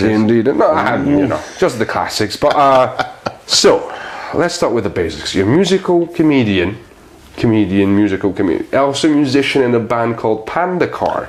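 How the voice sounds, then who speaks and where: Over noticeable background noise, a man speaks at a moderate pace in a medium pitch, his pitch swinging very widely. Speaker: podcast host. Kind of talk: podcast interview host.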